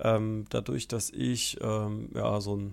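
The recording is very clean with a silent background, carrying a man's medium-pitched voice. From southern Hesse, Bergstraße. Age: 20s. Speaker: podcast host. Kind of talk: podcast monologue. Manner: hesitant, many filler sounds.

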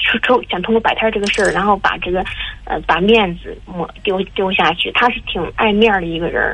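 Speaking at a fairly quick pace, a woman with a medium-pitched voice keeps her intonation fairly even over noticeable background noise. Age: 20s. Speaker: caller. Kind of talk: phone call advice. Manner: halting.

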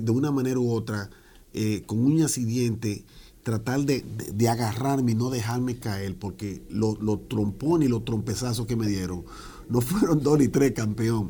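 With a dark, mellow tone, a man speaks at a medium pitch and uses ordinary pitch variation. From Dominican Republic, Santo Domingo; came young to New York. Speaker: business owner, tax franchise founder. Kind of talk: interview, personal story.

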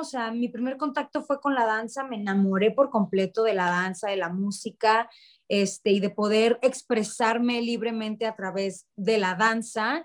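A woman speaks fairly slowly at a fairly high pitch, with an ordinary speaking voice and ordinary pitch variation. The recording is very clean, with a silent background. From Mexico, Sonora (Ciudad Obregón). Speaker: musical theatre singer and actress. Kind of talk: interview conversation.

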